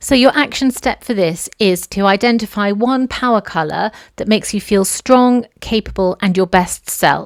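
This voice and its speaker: A woman with a British accent speaks at a medium pitch with ordinary pitch variation, in a very clean recording with a silent background. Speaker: podcast host, dressmaker. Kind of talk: solo podcast monologue. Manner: animated.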